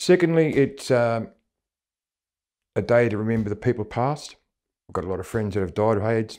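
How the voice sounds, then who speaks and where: A man with an Australian accent speaks at a medium pitch and moderate pace, with ordinary pitch variation and long, frequent pauses. The recording is very clean, with a silent background. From Australia, Melbourne area. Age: 60s. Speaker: HIV-positive community member. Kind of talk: personal testimony interview. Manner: hesitant, many fillers.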